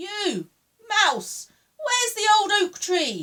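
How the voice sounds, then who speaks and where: Her pitch is extremely high in a squeaky, put-on character voice. The woman drags out each word at a very slow pace. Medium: read story. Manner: posh, prim, says one.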